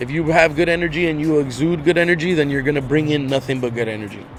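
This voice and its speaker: With music in the background, a man with an American accent speaks at a fairly quick pace, using a fairly high pitch and ordinary pitch variation. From Inglewood, Los Angeles, California. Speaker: guest. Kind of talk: casual chat. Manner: loud; animated.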